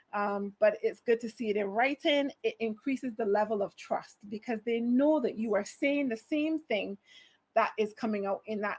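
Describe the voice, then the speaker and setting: In a Barbadian accent, a woman speaks at a moderate pace with an animated tone and a fairly high pitch. Her pitch varies in an ordinary way, and the sound is dry and close with no echo. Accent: Barbadian (Bajan). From Barbados. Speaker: HR manager, conference speaker. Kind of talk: conference talk.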